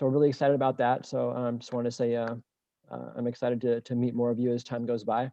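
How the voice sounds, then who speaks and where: Speaking very fast, a man holds a medium pitch with monotone, flat intonation. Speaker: business founder giving public comment. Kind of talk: public comment at council meeting. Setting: video call. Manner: halting, many fillers.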